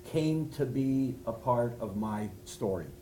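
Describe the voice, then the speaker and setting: A man talks at a very slow pace with ordinary pitch variation. Audible room echo surrounds his voice. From Canada, Montreal. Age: 60s. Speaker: rabbi, speaker. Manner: halting. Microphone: no microphone.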